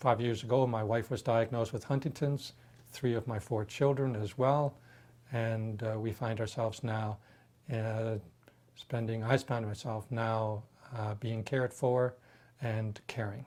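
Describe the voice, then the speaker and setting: A man at a medium pitch speaks at a fairly slow pace, his somewhat breathy voice keeping a fairly even intonation. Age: 60s. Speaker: patient with terminal illness. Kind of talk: testimony. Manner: halting.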